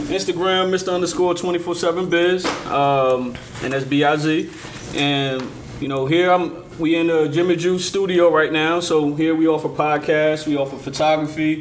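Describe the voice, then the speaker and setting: A fairly high-pitched man with an American accent, fairly slow and fairly even in intonation, amid noticeable background noise and audible room echo. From Portsmouth, Virginia. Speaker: rapper. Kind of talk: casual chat. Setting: studio.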